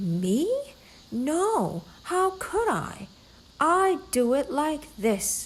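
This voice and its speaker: Putting on a high-pitched character voice, a woman speaks at a very slow pace with very wide pitch swings. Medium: read story.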